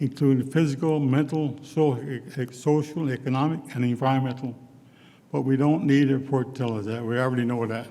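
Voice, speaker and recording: This man speaks at a fairly quick pace in a Newfoundland accent, his pitch medium. His tone is dark and mellow, and his intonation stays fairly even. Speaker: retired First Nation chief, award honouree. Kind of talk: award acceptance speech.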